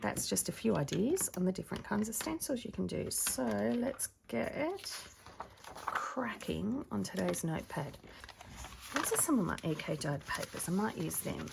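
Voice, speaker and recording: A woman speaks in a put-on character voice that is soft-spoken and raspy, at medium pitch and a moderate pace. Light background noise sits behind her. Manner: quiet, soft-spoken.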